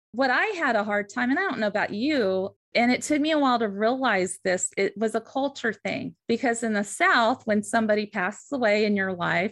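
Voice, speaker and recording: A woman with a normal speaking voice and an American accent talks at a moderate pace against a quiet background, her fairly high pitch showing ordinary variation. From western US. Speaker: licensed counselor and podcast host. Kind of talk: casual chat.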